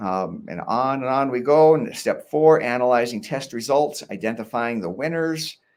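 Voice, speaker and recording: A man with a medium-pitched voice speaks with hardly any pauses. His intonation is lively. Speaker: workshop host. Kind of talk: tutorial. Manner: fast.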